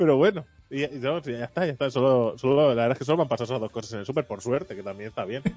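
Music plays in the background as a man at medium pitch talks at a very fast pace with ordinary pitch variation. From Barcelona, Spain. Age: 30s. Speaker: podcast host. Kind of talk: casual chat.

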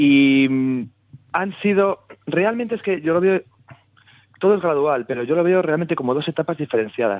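A man with a fairly high pitch talks at a moderate pace with lively intonation and long, frequent pauses, in a dry, close sound with no echo. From Basque Country, Spain. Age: 30s. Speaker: jazz double bassist. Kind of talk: interview.

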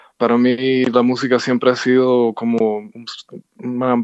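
Recorded against a quiet background, a man talks at a medium pitch with a dry, close sound and no echo. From Cuba (Havana). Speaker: jazz pianist and composer. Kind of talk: interview. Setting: phone call. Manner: halting, many fillers and repetitions.

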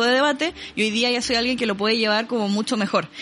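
A woman with a Chilean accent speaks at a fairly high pitch and a very fast pace. Noticeable background noise runs behind her. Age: 20s. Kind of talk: casual chat.

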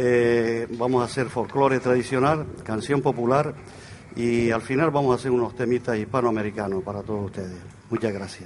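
A man at medium pitch speaks at a moderate pace with fairly even intonation, over noticeable background noise. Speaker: folk group leader and singer. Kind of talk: live concert stage announcements. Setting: outdoor stage in a town square with audience.

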